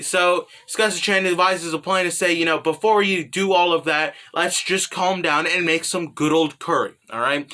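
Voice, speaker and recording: Hardly any pauses break the fairly even intonation of this voice, heard over noticeable background noise. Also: man, high pitch for a man, moderate pace. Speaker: manga commentary youtuber. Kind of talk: casual commentary. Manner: casual, filler-heavy.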